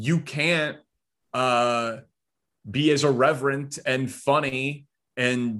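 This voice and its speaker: A man with an unremarkable speaking voice, medium pitch and ordinary pitch variation talks over a quiet background. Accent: American. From Chicago suburbs, Illinois. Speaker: sports radio host. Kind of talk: interview.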